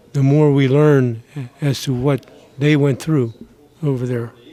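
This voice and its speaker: A man talks with a fairly high pitch in a monotone, flat intonation. Noticeable background noise runs behind him. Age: 80s+. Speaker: war veteran. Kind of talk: testimony.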